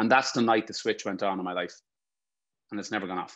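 An unremarkable speaking voice with fairly even intonation is heard over a quiet background. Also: man. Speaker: guest. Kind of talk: personal storytelling talk. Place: home room. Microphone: webcam.

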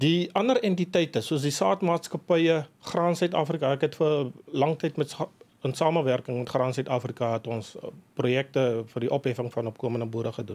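A man talks at a fairly high pitch. His pitch varies in an ordinary way. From South Africa, dairy farm. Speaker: agribusiness executive and sheep farmer; guest. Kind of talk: radio interview. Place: studio. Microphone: studio mic.

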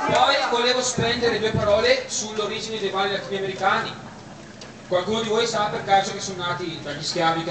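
With audible room echo and noticeable background noise, a man speaks at a fairly quick pace in a high voice. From Bergamo, Italy. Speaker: event host addressing guests. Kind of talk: speech to party guests. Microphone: camera far.

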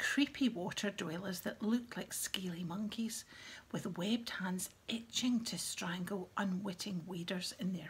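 This is an unforced reading voice. Its pitch variation is ordinary.

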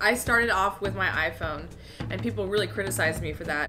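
Music plays clearly in the background. The speech moves at a fairly quick pace. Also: woman. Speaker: vlogger. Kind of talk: casual vlog chat. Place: home room. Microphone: phone near.

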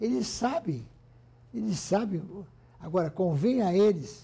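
Very slowly, a man speaks in a high pitch with a dark, mellow tone. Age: 80s+. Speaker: industrialist, former business federation president. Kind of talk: interview answer. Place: office. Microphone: lapel.

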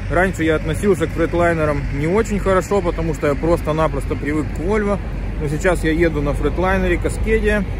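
A man at a fairly quick pace, dry sound with no echo, and noticeable background noise. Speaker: truck driver vlogger. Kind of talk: casual vlog chat. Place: street. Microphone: phone near.

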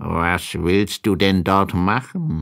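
Using a put-on character voice, a man speaks low and slow with vocal fry, a fairly bright tone and ordinary pitch variation. The recording is very clean, with a silent background.

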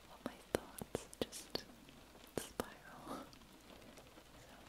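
This woman is soft-spoken. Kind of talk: soft intimate roleplay chat. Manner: soft, hushed bedtime ASMR voice. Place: home room. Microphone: phone near.

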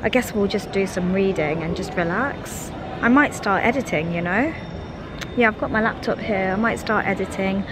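A woman speaks at a moderate pace with ordinary pitch variation, in a dry sound with no echo but noticeable background noise. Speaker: vlogger. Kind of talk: casual vlog chat. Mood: relaxed, cheerful. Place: hall. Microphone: phone near.

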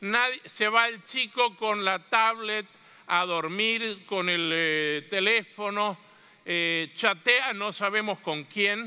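In a raised, projected voice, a man with a high pitch and a bright, sharp tone speaks at a very slow pace with ordinary pitch variation against a quiet background. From Argentina (Mendoza); Argentina. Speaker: catechetics speaker; speaker. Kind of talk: conference talk. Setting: stage with audience. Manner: animated. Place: hall.

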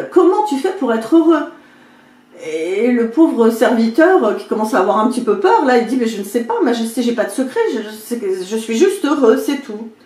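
Her voice is high-pitched for a woman, with very wide pitch swings and an animated, dramatic tone. She keeps a moderate pace amid audible room echo. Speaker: video creator and spiritual coach. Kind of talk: fable storytelling, retelling a parable. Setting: home video, talking to camera. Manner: animated, dramatic, playing the king and servant; chatty, informal, with comic asides. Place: home room.

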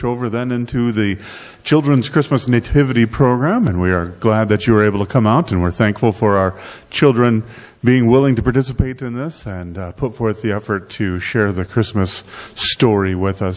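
Over a quiet background, a man talks at a fairly quick pace with ordinary pitch variation. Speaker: pastor. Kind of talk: welcome and prayer. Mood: warm, reverent. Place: church.

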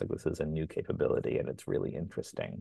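A man's voice, dry sound with no echo, over a quiet background. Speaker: artist working with machine learning; panelist. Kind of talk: group discussion. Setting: video call. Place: home room. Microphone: earbuds.

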